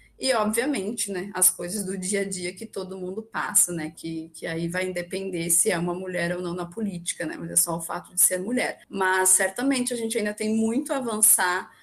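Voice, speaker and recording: A woman speaks at a moderate pace with medium pitch, ordinary pitch variation and hardly any pauses, over noticeable background noise. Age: young. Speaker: young left-wing political activist. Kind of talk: podcast panel discussion.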